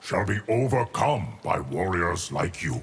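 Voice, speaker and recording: Putting on a growling character voice, a man speaks at a fairly slow pace with a very deep, low pitch and very wide pitch swings. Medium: video game.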